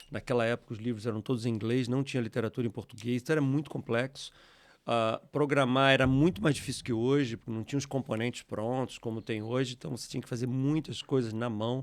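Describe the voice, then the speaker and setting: Keeping his intonation fairly even, a man with a medium pitch speaks very fast. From Rio de Janeiro state, Brazil (Teresópolis). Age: 60s. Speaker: software company founder. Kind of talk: interview.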